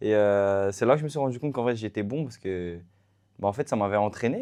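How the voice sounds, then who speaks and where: A man talks at a very fast pace against a quiet background. His fairly low voice has a dark, mellow tone and ordinary pitch variation. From France, Paris suburbs (La Courneuve). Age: 20s. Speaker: athlete. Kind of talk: interview. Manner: hesitant, many fillers.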